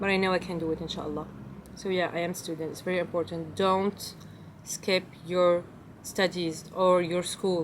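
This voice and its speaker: In a French accent, a woman speaks at a moderate pace with a fairly low pitch and flat, monotone intonation. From Belgium. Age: 20s. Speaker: lifestyle vlogger. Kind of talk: casual Q&A vlog. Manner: halting, non-fluent English.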